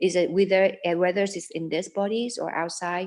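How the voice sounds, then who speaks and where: At a moderate pace, a woman speaks with a fairly low pitch. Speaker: Buddhist nun and dharma translator. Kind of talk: dharma talk translation. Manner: halting.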